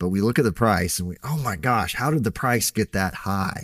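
A man with an American accent speaks in a plain, everyday voice at a moderate pace, with lively intonation. The recording is very clean, with a silent background. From Texas. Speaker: podcast host and farmer. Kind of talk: casual podcast chat.

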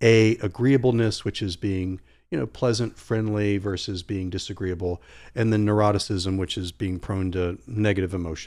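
An ordinary speaking voice with an American accent, fairly even intonation and a moderate pace, on a very clean recording with a silent background. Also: man, fairly low pitch for a man. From Virginia, Norfolk area. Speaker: psychologist. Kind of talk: casual chat.

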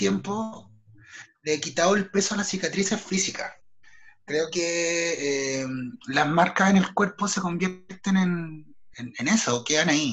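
A man with a Chilean accent talks very slowly. His voice is high-pitched, with ordinary pitch variation. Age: 30s. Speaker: theatre artist and writer. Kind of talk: personal testimony interview.

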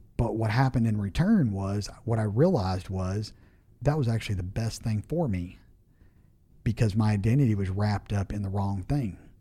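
A man's fairly low, somewhat breathy voice with a dark, mellow tone, ordinary pitch variation and a moderate pace. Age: 40s. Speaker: home builder and business owner. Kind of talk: casual interview.

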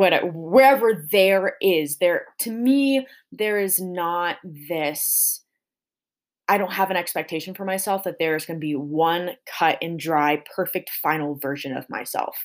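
With a General American accent, an ordinary speaking voice moves at a fairly slow pace with lively intonation. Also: woman, fairly low pitch for a woman. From small-town Colorado. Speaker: podcast host, dancer and fitness coach. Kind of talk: solo podcast monologue. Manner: casual with frequent fillers.

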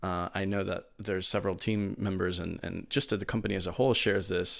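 Very clean with a silent background, the recording has a man with a normal speaking voice and fairly low pitch talking at a fairly quick pace with ordinary pitch variation. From Miami, Florida (born in Venezuela). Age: 20s. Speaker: holographic display community manager and 3D artist. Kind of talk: interview.

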